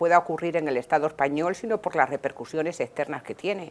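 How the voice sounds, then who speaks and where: Fairly quick in pace, a woman speaks with a very deep, low pitch. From Spain. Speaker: political scientist. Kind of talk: TV interview. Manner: formal.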